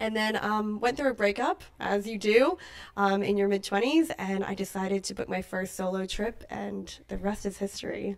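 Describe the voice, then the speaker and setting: Speaking with an American accent, a woman talks at a moderate pace and medium pitch with ordinary pitch variation. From New Zealand, raised partly in the US. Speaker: tour manager. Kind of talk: podcast interview.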